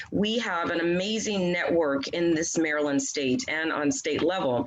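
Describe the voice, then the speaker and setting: A woman speaks at a medium pitch in an energetic tone with lively intonation. Noticeable background noise and audible room echo fill the recording. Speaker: leadership trainer. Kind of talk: training session. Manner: fast.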